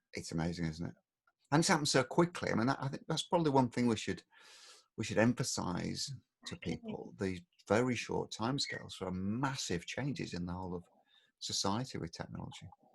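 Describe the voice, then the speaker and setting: Speaking with an English accent at a fairly quick pace, the man has a medium pitch and very wide pitch swings. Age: 60s. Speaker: podcast co-host, father. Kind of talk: casual chat. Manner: animated.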